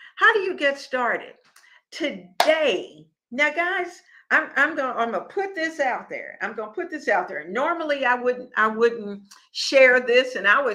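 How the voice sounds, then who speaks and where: Over a very clean recording with a silent background, a woman uses a raised, projected voice with a high pitch, very wide pitch swings and a bright, sharp tone, speaking at a fairly slow pace. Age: 70s. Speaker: cooking and lifestyle show host. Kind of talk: casual livestream talk. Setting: live stream. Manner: conversational, repetitive restarts.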